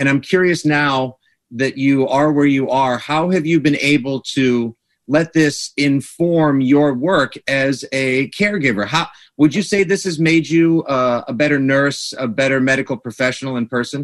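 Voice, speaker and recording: This man has an ordinary speaking voice, pitched fairly high, with an American accent. His pitch varies in an ordinary way, and he talks at a moderate pace. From Massachusetts. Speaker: sports radio host. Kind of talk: radio interview. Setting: studio.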